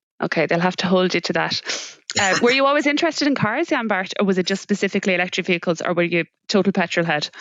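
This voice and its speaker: A woman with a Limerick accent talks at a very fast pace, her medium-pitched voice kept at a very even loudness while her intonation stays lively. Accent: Irish, Limerick. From Ireland, Limerick. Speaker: podcast host. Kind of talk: podcast interview.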